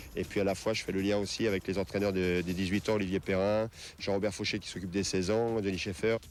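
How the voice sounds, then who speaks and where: Very fast and in a flat monotone, a man speaks with a fairly low voice. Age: 40s. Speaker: football youth academy director. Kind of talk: interview. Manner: hesitant, many fillers.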